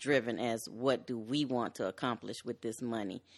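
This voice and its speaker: The speaker has an American accent and fairly even intonation. The pace is moderate, with a quiet background. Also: woman. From US Midwest, Chicago West Side. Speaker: software engineer. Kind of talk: casual chat.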